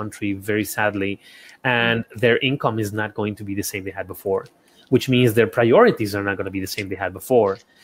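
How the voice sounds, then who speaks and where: With a Spanish accent, a man talks at a moderate pace using fairly even intonation. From Ecuador. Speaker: architect and small business consultant. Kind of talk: interview conversation. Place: home room.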